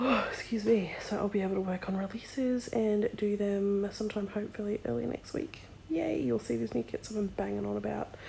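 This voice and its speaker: With an Australian accent, a woman talks at a fairly quick pace with hardly any pauses over noticeable background noise. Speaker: vlogger and sticker shop owner. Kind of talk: casual vlog. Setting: in bed at night. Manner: soft-spoken.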